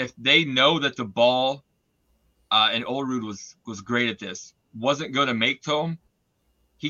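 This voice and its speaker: Ordinary pitch variation marks this man's medium-pitched voice at a fairly slow pace. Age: 40s. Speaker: podcast host. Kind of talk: casual sports chat. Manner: hesitant, many fillers.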